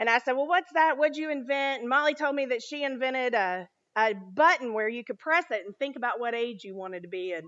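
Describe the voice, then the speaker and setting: Loud and animated, a high-pitched woman talks at a fairly quick pace with lively intonation. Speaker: children's ministry leader. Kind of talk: sermon. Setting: church.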